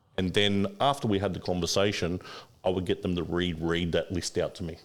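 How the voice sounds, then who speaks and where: In a very clean recording with a silent background, a man with a very deep, low pitch and an Australian accent speaks at a fairly quick pace with fairly even intonation. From Australia, inner-city Sydney. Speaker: finance broker. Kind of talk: casual chat. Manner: fast.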